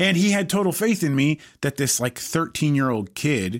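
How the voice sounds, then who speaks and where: On a very clean recording with a silent background, a man with an American accent speaks at a moderate pace with lively intonation in an unremarkable speaking voice. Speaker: touring musician, podcast co-host. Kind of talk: casual chat.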